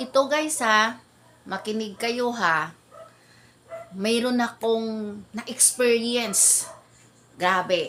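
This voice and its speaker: A woman speaks at a very slow pace with long, frequent pauses. Noticeable background noise sits behind her. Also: fairly high pitch for a woman, ordinary pitch variation. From Philippines, Ilonggo-speaking. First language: Hiligaynon (Ilonggo) (speaking Tagalog). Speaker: vlogger. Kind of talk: casual storytelling vlog. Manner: animated.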